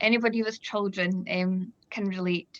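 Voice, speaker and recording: A bright, sharp tone carries the voice. The intonation stays fairly even. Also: woman. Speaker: event host. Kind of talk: video call panel discussion. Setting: video call.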